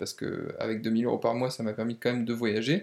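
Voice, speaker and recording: A man's plain, everyday voice sits at a medium pitch, and his intonation is fairly even. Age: 30s. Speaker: entrepreneur and property investor. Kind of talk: casual interview. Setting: at the host's home.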